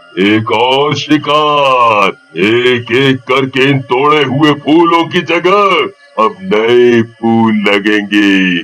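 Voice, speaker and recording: A man performs a menacing, cartoonish character voice at a medium pitch and a very slow pace with hardly any pauses. Music plays in the background. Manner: menacing, gloating.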